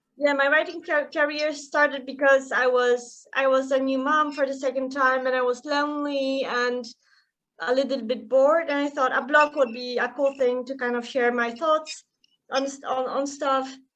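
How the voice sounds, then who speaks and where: Speaking at a moderate pace, a woman with a non-native accent uses a high pitch and a flat, monotone intonation. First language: not English. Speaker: author. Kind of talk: casual interview chat.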